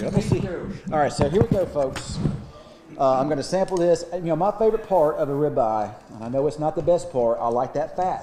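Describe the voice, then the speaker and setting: The voice races along at a very fast pace with lively intonation. Noticeable background noise runs underneath. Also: man. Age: 60s. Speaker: TV meteorologist. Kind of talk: casual chat.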